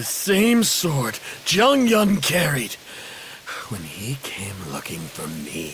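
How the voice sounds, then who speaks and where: This man puts on a cartoonish character voice, pitched fairly high and delivered at a very slow pace. Clear background noise runs behind him. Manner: harsh, intense.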